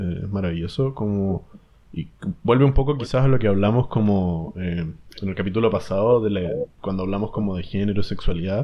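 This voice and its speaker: A man speaks at a fairly quick pace with a Chilean accent, his fairly low pitch moving with ordinary variation. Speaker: podcast co-host. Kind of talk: casual chat.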